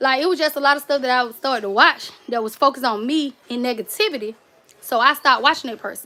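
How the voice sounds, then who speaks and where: A woman with a Southern US accent, a high pitch, a very fast pace, a bright, sharp tone, a raised, projected voice and ordinary pitch variation. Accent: country Southern. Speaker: cake and gift basket YouTuber. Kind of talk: casual livestream chat. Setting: livestream. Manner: skips over words.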